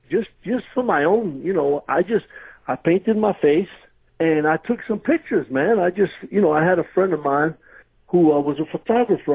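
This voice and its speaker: A man in a New York accent, high-pitched, with lively intonation. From New York, Brooklyn. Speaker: retired pro wrestler. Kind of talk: interview storytelling. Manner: animated, casual.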